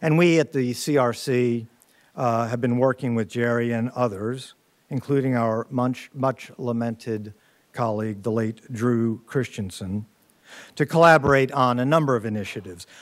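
A man is speaking with ordinary pitch variation. The background is quiet. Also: medium pitch for a man, moderate pace. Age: 60s. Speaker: university center director, moderator. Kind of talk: panel discussion moderation. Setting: stage with in-person audience. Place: hall. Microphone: podium.

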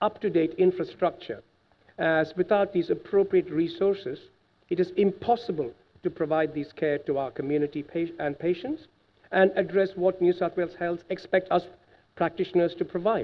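A man talks at a fairly quick pace in a high pitch. His pitch varies in an ordinary way. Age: 50s. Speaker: cardiologist; witness. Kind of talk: testimony. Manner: animated. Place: hall. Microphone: podium.

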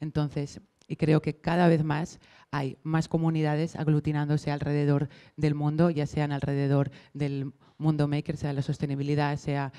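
A woman with a very deep, low pitch and a dark, mellow tone speaks in a monotone, flat intonation at a moderate pace against a quiet background. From Barcelona. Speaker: maker community manager; panelist. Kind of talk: panel discussion. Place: hall. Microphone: handheld.

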